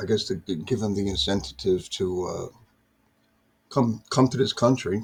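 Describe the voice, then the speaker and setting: Somewhat breathy, a man with a fairly low pitch and an American accent uses ordinary pitch variation and leaves long, frequent pauses. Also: moderate pace. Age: 60s. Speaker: political commentary vlogger. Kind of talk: casual monologue. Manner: halting, repetitive.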